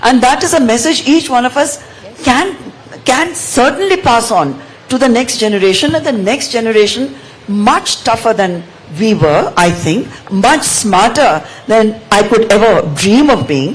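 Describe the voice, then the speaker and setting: At a fairly slow pace, a woman with a fairly high pitch swings very widely in pitch. Her loudness stays very even, with noticeable background noise behind her. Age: 70s. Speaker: author. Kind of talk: panel discussion.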